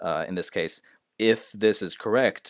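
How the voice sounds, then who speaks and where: This man has a fairly low pitch and speaks with a non-native accent. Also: dry, close sound with no echo, very clean recording, silent background. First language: not English. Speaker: English grammar teacher. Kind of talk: tutorial. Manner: hesitant, many filler sounds.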